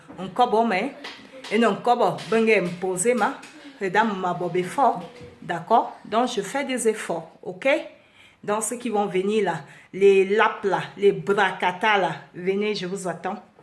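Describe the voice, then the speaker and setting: Noticeable background noise and audible room echo surround a woman speaking at a very slow pace. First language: Beti (Ewondo) (speaking French). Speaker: vlogger. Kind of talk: impassioned monologue. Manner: halting, searching for words.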